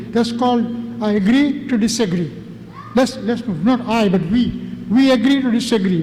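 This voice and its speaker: Audible room echo and noticeable background noise surround a man's voice. He speaks at a moderate pace with an extremely high pitch. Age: 70s. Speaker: community presenter. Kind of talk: presentation to an audience. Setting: mosque event with audience. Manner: animated.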